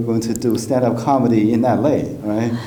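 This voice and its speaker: A man at medium pitch and a fairly slow pace, fairly even intonation, with audible room echo and noticeable background noise. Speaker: comedian and podcast host. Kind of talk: casual interview chat.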